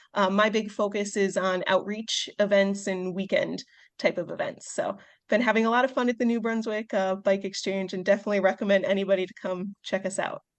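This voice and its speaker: Speaking at a fairly quick pace against a quiet background, a woman uses a medium pitch in a Midwestern American accent. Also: fairly even intonation. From US Midwest, Chicago suburbs. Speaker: veterinarian and bike shop volunteer. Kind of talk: podcast interview.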